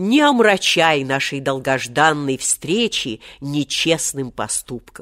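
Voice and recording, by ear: A woman's put-on character voice, low in pitch and fairly bright in tone, slow with lively intonation, on a very clean recording with a silent background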